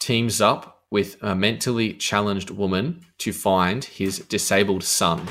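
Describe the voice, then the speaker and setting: Fairly even intonation in a man's fairly low-pitched voice. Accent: Australian. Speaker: radio host. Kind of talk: radio DJ patter.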